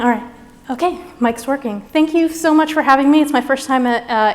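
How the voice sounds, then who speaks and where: A woman with a high pitch talks at a fairly quick pace with ordinary pitch variation. Noticeable background noise runs behind her. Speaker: scientist giving keynote. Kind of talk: lecture. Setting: stage with audience. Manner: fast.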